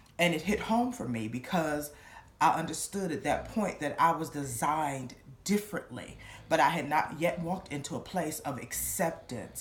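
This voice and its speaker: A woman speaks at a moderate pace in a very deep, low, somewhat breathy voice. Her intonation is lively, and there is audible room echo. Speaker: church member giving testimony. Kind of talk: testimony.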